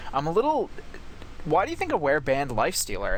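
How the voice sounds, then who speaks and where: A man's very fast speech with lively intonation over noticeable background noise. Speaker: esports co-caster. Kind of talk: live commentary. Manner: loud; animated.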